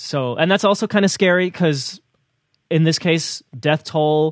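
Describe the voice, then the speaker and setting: Captured dry and close with no echo, a man with a New Jersey accent speaks with ordinary pitch variation. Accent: American, New Jersey. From US, New Jersey. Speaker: news podcast co-host. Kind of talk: casual news discussion. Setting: remote audio call.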